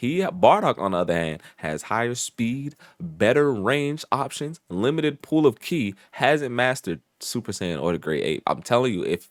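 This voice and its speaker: In a very clean recording with a silent background and a dry, close sound with no echo, a man speaks at a moderate pace with very wide pitch swings. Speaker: YouTube reaction streamer. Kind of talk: video reaction commentary.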